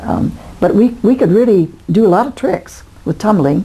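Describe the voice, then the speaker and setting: Noticeable background noise behind a voice with lively intonation. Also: woman. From US Midwest, Toledo, Ohio. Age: 80s+. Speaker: grandmother interviewed about her life. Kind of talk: oral history interview. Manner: halting, many fillers.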